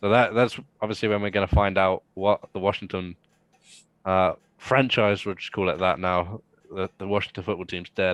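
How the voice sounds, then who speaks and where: At a moderate pace, an English-accented voice keeps fairly even intonation, with a quiet background and a dry, close sound with no echo. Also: man, fairly low pitch for a man. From England. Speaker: sports podcast guest. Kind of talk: casual chat.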